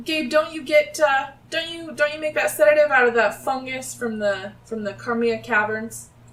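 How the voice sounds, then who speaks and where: At a moderate pace, a woman speaks high in pitch in a put-on character voice. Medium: actual play.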